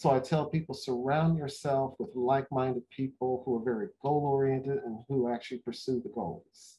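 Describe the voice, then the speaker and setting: A man speaks at a moderate pace in a medium-pitched, somewhat breathy voice with ordinary pitch variation and hardly any pauses. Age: 60s. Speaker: marathon runner and executive; interview guest. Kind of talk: interview. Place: home room. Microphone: video call.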